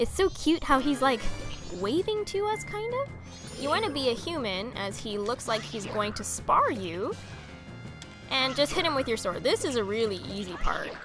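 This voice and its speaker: Over music in the background, the voice moves through very wide pitch swings with long, frequent pauses. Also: woman. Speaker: gaming video creator. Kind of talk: video game let's play commentary.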